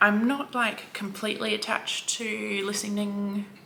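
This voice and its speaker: A woman speaks at a medium pitch in an Australian accent. Noticeable background noise runs behind her. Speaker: book vlogger. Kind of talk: casual vlog chat.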